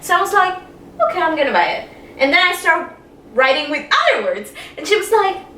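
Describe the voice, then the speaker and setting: A woman's extremely high, raised and projected voice with lively intonation, a very fast pace and long, frequent pauses, amid noticeable background noise and audible room echo. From Caribbean, Spanish-speaking. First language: Spanish. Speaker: YouTuber. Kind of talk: casual chat.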